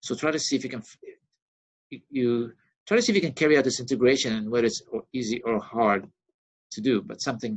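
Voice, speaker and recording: Talking at a very fast pace, a man breaks off with long, frequent pauses while his loudness swings widely. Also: medium pitch for a man, ordinary pitch variation. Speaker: university lecturer. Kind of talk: recorded lecture. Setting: recording on a laptop with pen.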